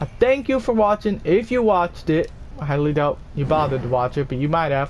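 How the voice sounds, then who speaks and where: Quiet and at a moderate pace, the voice carries lively intonation. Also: man. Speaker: gaming youtuber. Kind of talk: gameplay commentary; video outro.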